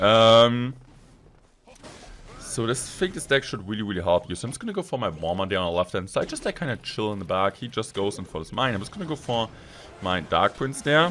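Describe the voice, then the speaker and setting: A man with a German accent, medium pitch, very wide pitch swings and a fairly quick pace. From Germany. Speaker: gaming YouTuber. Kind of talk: gameplay commentary. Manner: fast; animated.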